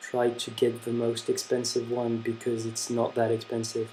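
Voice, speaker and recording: Someone with a French accent speaks at a fairly slow pace. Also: man. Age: young. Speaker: handwriting instructor. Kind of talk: tutorial. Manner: casual, hesitant with fillers.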